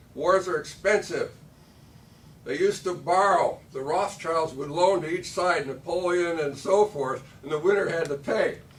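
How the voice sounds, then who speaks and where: A speaker with an American accent talks at a moderate pace, with ordinary pitch variation. Noticeable background noise is audible. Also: man, high pitch for a man. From Michigan, US Midwest. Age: 70s. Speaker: political candidate. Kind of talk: candidate forum speech. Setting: candidate forum with audience.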